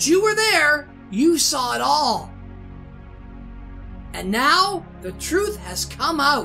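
Using a put-on character voice, a woman speaks at a very slow pace over clear music in the background. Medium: game stream. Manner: bitter, accusing, rising to menace.

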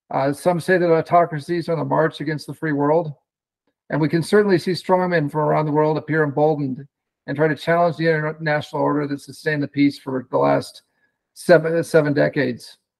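A man at a fairly quick pace in a monotone, flat delivery, over a quiet background. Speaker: remote speaker. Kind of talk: keynote speech. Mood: formal, measured. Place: home room. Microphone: video call.

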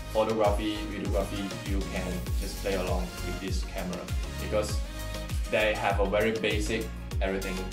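Clear music plays in the background as a man with a Chinese accent speaks at a moderate pace. His very deep, low pitch moves in very wide swings. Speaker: camera hobbyist reviewer. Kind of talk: casual talk to camera. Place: home room.

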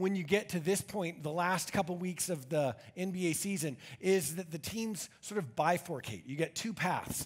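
A man speaks with a high pitch and ordinary pitch variation against a quiet background. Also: moderate pace. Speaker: pastor. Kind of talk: sermon. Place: church.

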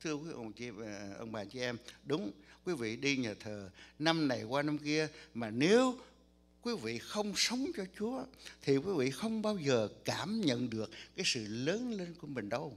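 A man's fairly high voice with very wide pitch swings, a fairly slow pace, and long, frequent pauses. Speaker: pastor. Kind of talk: sermon. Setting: church. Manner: soft-spoken. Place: church.

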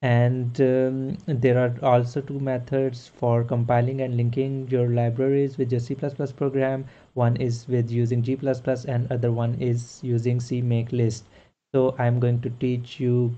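This man has a dark, mellow tone and a monotone, flat intonation. He talks at a fairly slow pace. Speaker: programming tutor. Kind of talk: tutorial. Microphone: webcam.

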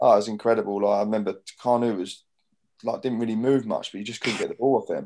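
Very fast speech in a southern English accent over light background noise. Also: man. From southern England, Portsmouth area; southern England. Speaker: professional footballer and club captain; guest. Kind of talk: casual interview chat. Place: home room. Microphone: video call.

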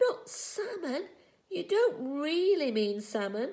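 A put-on character voice, high and shrill, moves at a fairly slow pace with very wide pitch swings. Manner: incredulous, indignant.

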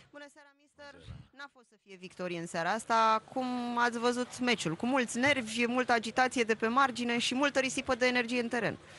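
Big swings in loudness run through this woman's speech at a fairly quick pace. Her pitch is high, with ordinary variation. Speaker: pitchside reporter. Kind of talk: post-match interview.

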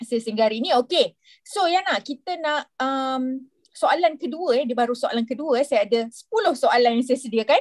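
A woman's high-pitched voice with lively intonation, at a moderate pace over a quiet background. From Malaysia. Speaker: event moderator. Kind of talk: moderated online session. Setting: video call. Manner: hesitant. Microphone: video call.

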